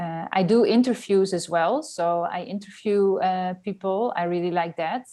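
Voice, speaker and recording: Dark, mellow tone from a woman with a Dutch accent, medium pitch, ordinary pitch variation and a fairly slow pace. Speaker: journalist and writer. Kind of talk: casual interview. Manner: hesitant, many fillers.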